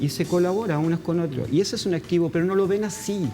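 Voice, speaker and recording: The speaker has a Chilean accent and a fairly quick pace. Music plays in the background. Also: man. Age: 50s. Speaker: NGO founder and activist. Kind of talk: interview. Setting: studio. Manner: halting.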